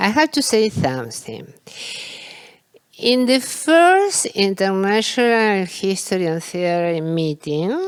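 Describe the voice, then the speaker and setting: Speaking very slowly with a non-native accent, a woman makes very wide pitch swings. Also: medium pitch for a woman. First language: Spanish. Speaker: philosophy of history scholar. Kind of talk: academic panel discussion. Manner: halting, repeating words.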